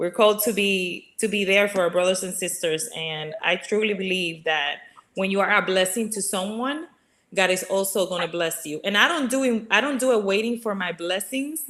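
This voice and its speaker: A woman speaks at a medium pitch, keeping a moderate pace. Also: ordinary pitch variation. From Dominican Republic. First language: Spanish. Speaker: regional sales director. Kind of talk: casual interview.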